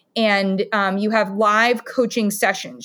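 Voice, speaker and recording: Speaking with a US Midwestern accent, a woman uses a medium pitch and fairly even intonation at a moderate pace. The recording is very clean, with a silent background. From Ohio, US Midwest (Columbus). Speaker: dietitian. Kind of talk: interview conversation.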